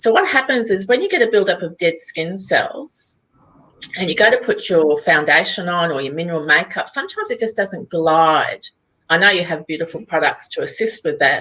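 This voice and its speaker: A woman speaks in an Australian accent. Her pace is moderate. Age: 60s. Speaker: skincare company founder. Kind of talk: interview. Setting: live video interview.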